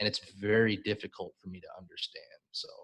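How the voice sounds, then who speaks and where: This man has a Chicago accent and a medium pitch. He speaks at a moderate pace with fairly even intonation. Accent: Chicago American English. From US Midwest, Chicago. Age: 40s. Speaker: English teacher. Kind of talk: live-stream conversation lesson. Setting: live stream video call.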